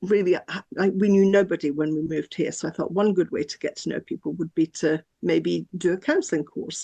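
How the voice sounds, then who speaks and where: Speaking at a fairly quick pace, the woman has a fairly low, dark, mellow voice with vocal fry and fairly even intonation, heard as a dry, close sound with no echo. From born in Scotland, raised in France from 5 to 16. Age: 60s. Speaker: counsellor and psychotherapy trainer. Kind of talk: interview.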